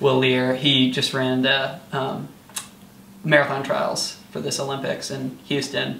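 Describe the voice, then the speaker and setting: A man with an American accent talks at a fairly slow pace in a monotone, flat intonation, with audible room echo and light background noise. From US Midwest (rural eastern Iowa). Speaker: college track athlete. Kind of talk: casual interview. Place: home room. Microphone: camera far.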